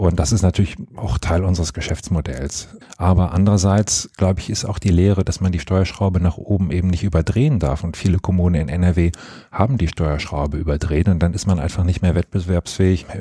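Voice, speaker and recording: A man's very deep, low voice, somewhat breathy, dark and mellow in tone, at a fairly quick pace. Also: ordinary pitch variation. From Rhineland, Germany (Monheim am Rhein). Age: 30s. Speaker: mayor. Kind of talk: interview.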